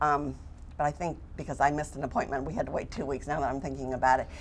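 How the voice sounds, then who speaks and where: This woman speaks at a very deep, low pitch. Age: 60s. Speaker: cataract surgery patient. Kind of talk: TV interview. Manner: animated.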